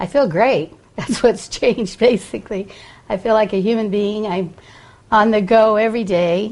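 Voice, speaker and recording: This is a normal speaking voice from a woman, pitched fairly high. She talks at a moderate pace with fairly even intonation. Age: 60s. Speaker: patient. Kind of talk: testimony.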